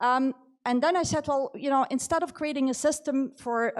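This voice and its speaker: The woman's delivery moves at a fairly quick pace. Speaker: AI expert and author, keynote speaker. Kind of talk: keynote talk. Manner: halting, with fillers and restarts.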